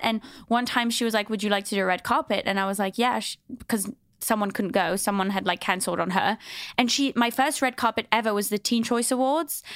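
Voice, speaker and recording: On a very clean recording with a silent background, a woman with a fairly high pitch talks at a very fast pace with ordinary pitch variation. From Switzerland, English family. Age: 30s. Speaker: entertainment reporter and podcast host. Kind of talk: casual chat.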